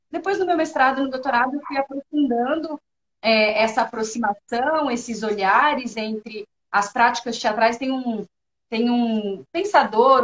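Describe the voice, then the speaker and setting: A woman speaks with a São Paulo accent. Her pitch is high, with ordinary pitch variation. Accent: São Paulo (paulista). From São Paulo state, Brazil. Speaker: university professor. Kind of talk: interview.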